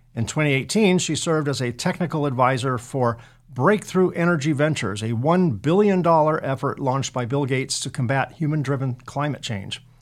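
An unremarkable speaking voice with ordinary pitch variation. It moves at a fairly quick pace with hardly any pauses. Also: man, fairly high pitch for a man. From California. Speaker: podcast host. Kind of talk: scripted narration; interview.

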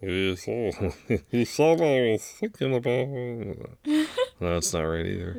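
Using a put-on character voice at medium pitch, a man speaks at a very slow pace.

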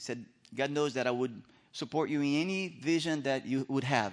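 Against a quiet background, a man speaks at a moderate pace. His pitch is medium, with ordinary variation. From Brazil. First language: Portuguese. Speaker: missionary. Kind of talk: sermon. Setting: church stage with audience. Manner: nervous about English.

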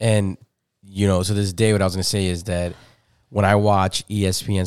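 Very clean, with a silent background, the recording holds a man's very deep, low voice. He has an American accent and fairly even intonation. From Chicago, Humboldt Park. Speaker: podcast host. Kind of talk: casual chat.

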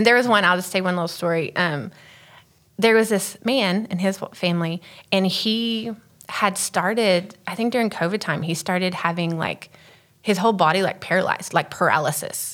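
An ordinary speaking voice with an American accent moves along at a moderate pace. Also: woman, medium pitch for a woman, ordinary pitch variation. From Texas. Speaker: missionary. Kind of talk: interview.

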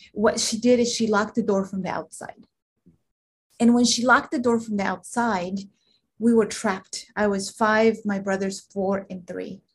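Her intonation stays fairly even and her voice is somewhat breathy. This woman has a medium pitch. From Guatemala. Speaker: executive coach and veteran. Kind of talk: interview, personal storytelling.

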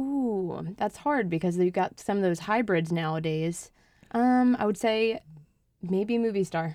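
A woman of medium pitch uses an ordinary speaking voice at a fairly slow pace, with lively intonation and very even loudness. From New Jersey. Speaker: golf club membership and marketing coordinator. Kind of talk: radio interview. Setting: radio studio.

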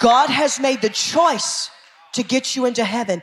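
An animated tone carries through at a fairly slow pace over noticeable background noise. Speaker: preacher. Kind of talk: sermon. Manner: animated, emphatic.

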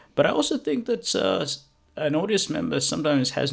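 At a moderate pace, a man speaks with vocal fry. His pitch swings very widely. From South Africa. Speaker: spoken word poet. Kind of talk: casual interview.

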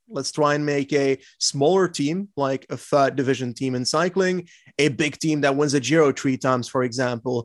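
Speaking with a slight Flemish accent, a man talks at a moderate pace in a fairly high pitch with ordinary pitch variation, the sound dry and close with no echo. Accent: light Flemish-accented English. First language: Dutch. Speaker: cycling podcast co-host and YouTuber. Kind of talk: casual interview.

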